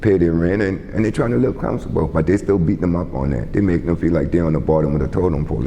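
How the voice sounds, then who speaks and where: Ordinary pitch variation marks this voice in a South Carolina Lowcountry accent, heard over noticeable background noise. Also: man. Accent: Southern US, Lowcountry South Carolina. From Charleston, South Carolina. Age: 60s. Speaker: community advocate and youth sports coach. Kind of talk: oral history interview answer.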